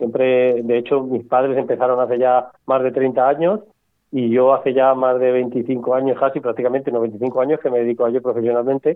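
The man's loudness stays very even, and his intonation is monotone and flat. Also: medium pitch for a man, moderate pace. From Cuenca, Castilla-La Mancha, Spain. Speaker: mushroom farmer. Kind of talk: interview.

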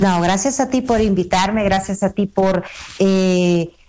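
At a fairly slow pace, a woman talks in a monotone, flat intonation with noticeable background noise. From El Salvador. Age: 30s. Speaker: travel agent. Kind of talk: radio interview.

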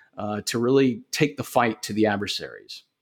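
Recorded very cleanly against a silent background, a man speaks at a medium pitch with fairly even intonation. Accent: Southern US. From US South, Augusta, Georgia. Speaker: cybersecurity company founder. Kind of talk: podcast interview.

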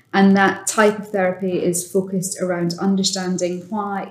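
A woman's monotone, flat intonation carries through speech at a moderate pace. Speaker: sales director. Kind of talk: casual interview chat.

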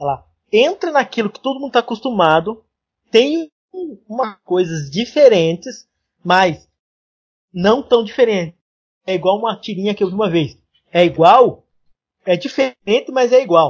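A high-pitched man at a moderate pace, with lively intonation, big swings in loudness, and long, frequent pauses. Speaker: podcast host, web developer. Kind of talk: casual chat.

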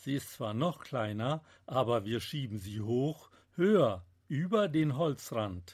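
On a very clean recording with a silent background, a man with a medium pitch and a somewhat breathy voice speaks at a very slow pace, with very wide pitch swings. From Münsterland, Germany. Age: 70s. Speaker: novelist. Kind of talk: author reading from own novel.

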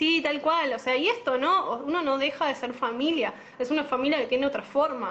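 A woman with a Rioplatense accent speaks at a high pitch and a moderate pace. Noticeable background noise is present. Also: ordinary pitch variation. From Argentina, La Matanza (Buenos Aires). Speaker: pediatrician. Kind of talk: casual interview. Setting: Instagram live video call.

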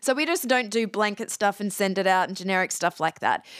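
A woman with an Australian accent talks fairly quickly at a fairly high pitch, with ordinary pitch variation. The sound is dry and close with no echo, in a very clean recording with a silent background. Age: 40s. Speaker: podcast talent agency CEO. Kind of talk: interview.

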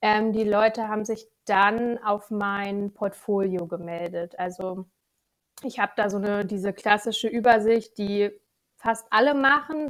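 A woman with an unremarkable speaking voice talks at a fairly slow pace, her fairly high pitch carried on fairly even intonation. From Lower Saxony, Germany (Gifhorn district). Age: 20s. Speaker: financial controlling freelancer. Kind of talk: podcast interview.

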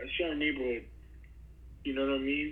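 A man with a New York accent talks, and some room echo can be heard. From Brooklyn, New York. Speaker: podcast host, guest. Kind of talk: casual interview chat. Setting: video call.

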